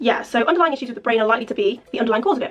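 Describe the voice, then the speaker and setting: A woman with an English accent has a high voice and lively intonation. There is noticeable background noise. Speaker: vlogger. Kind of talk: casual chat. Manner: fast.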